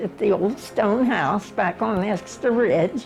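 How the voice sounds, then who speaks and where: With music in the background, a woman at medium pitch speaks at a very slow pace with ordinary pitch variation. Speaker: mother of twelve. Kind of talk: family history interview answer.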